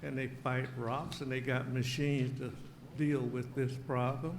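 A man with a Southern US accent speaks at a moderate pace in a medium pitch, with audible room echo. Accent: US South. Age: 80s+. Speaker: resident speaking at public comment. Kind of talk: public comment at council meeting.

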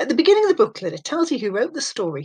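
Very wide pitch swings in a somewhat breathy voice, set against a quiet background. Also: woman. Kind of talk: scripted welcome talk to pupils. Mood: warm, reassuring. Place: home room. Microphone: webcam.

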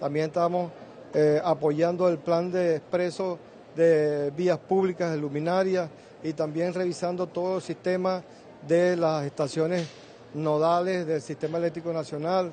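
A man's high, monotone voice with flat intonation at a fairly slow pace, over light background noise. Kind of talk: press statement. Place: hall. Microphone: handheld.

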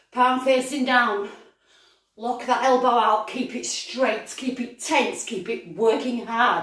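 Over a quiet background with audible room echo, a woman speaks in a high pitch at a very slow pace. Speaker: fitness instructor. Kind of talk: live-action workout coaching, shouted countdowns and form cues. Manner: pushing, breathless encouragement. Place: kitchen. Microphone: camera far.

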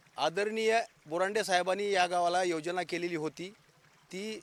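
This man speaks with a high pitch and fairly even intonation. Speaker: army veteran and local politician. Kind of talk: on-the-spot news interview.

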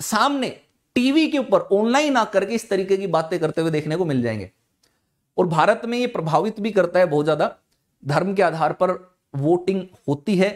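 A man speaks at a high pitch with lively intonation. His fairly slow delivery comes over a quiet background. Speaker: online exam-prep educator. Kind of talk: lecture. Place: studio. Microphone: lapel.

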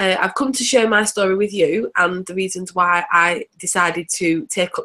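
Speaking in an English accent, a woman with a medium pitch and a bright, sharp tone keeps a moderate pace. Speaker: direct sales presenter. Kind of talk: webinar testimony. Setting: video call webinar.

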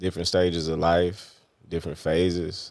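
A man speaks in a very deep, low voice with monotone, flat intonation. The sound is dry with no echo, over a quiet background. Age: 30s. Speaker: interview show host. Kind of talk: casual interview chat. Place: studio. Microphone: studio mic.

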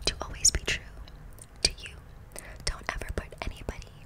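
The woman's voice comes out as whispering. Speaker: ASMR creator. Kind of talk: soft casual ASMR chat, Q&A answers. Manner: soft close-mic ASMR speaking. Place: home room. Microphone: studio mic.

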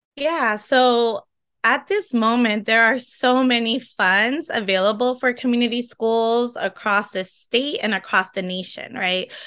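Against a quiet background, a woman with a bright, sharp tone and fairly high pitch speaks at a fairly slow pace with ordinary pitch variation. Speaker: teacher, community school coordinator; teacher. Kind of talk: interview. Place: home room. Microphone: video call.

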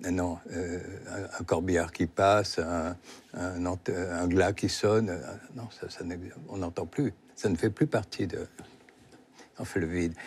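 Very slowly and with long, frequent pauses, a man speaks in a very deep, low, somewhat breathy voice with fairly even intonation. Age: 70s. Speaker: novelist; guest. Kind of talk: interview. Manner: halting. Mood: reflective, serious topic of death. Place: studio. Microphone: lapel.

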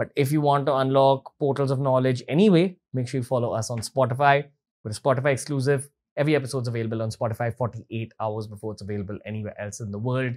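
Very fast pace from a man, pitch varying in an ordinary way. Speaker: podcast host. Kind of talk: episode intro to camera. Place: studio. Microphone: studio mic.

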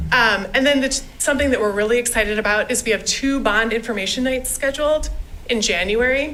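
Over noticeable background noise, the speaker keeps a fairly quick pace at a very even loudness. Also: woman, high pitch for a woman, ordinary pitch variation. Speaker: school district communications staff. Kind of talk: presentation at board meeting. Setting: school board meeting. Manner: fast.

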